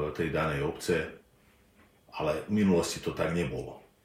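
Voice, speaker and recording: Recorded with audible room echo, a man speaks in a very deep, low voice. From southern Slovakia, bilingual Slovak-Hungarian family. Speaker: linguistics professor. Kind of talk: interview. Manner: hesitant, frequent filler sounds.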